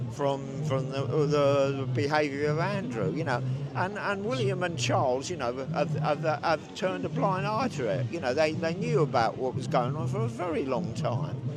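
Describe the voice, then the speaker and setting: A man with a fairly high pitch talks through noticeable background noise, his voice carrying audible room echo. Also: ordinary pitch variation, moderate pace. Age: 70s. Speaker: protester. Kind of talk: street interview. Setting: outdoors at a protest. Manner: halting.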